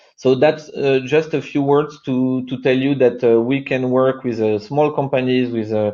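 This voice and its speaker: Against a quiet background, a voice with a French accent and a dark, mellow tone speaks with fairly even intonation. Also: man. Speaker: company co-founder presenting. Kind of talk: webinar presentation. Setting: online webinar. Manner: halting, many fillers.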